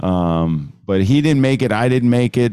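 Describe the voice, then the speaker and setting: In a very clean recording with a silent background, a man with an American accent speaks at a moderate pace with lively intonation and an unremarkable speaking voice. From New Jersey. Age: 50s. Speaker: photographer. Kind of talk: casual interview.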